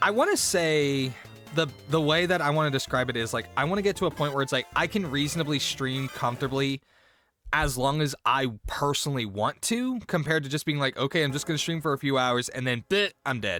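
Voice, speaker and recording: On a very clean recording with a silent background, a man speaks loud and fairly quickly in a fairly high pitch, with a bright, sharp tone and lively intonation. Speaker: streamer. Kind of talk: casual chat. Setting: live stream.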